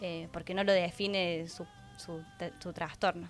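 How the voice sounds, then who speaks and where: A fairly slow delivery is heard here. Background music accompanies it. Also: woman. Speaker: speech-language pathologist (fonoaudióloga) guest expert. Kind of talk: TV interview answer, explanatory.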